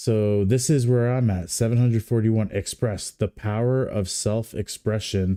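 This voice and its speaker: With a dark, mellow tone, a man speaks at a fairly low pitch and with fairly even intonation on a very clean recording with a silent background. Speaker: livestream commentator. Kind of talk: casual live stream commentary. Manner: slightly slurred.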